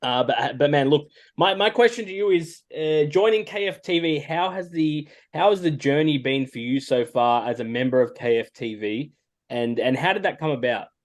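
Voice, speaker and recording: Speaking with an Australian accent, a man uses a fairly high voice with lively intonation at a moderate pace. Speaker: podcast panelist. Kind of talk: podcast interview. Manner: hesitant, many fillers.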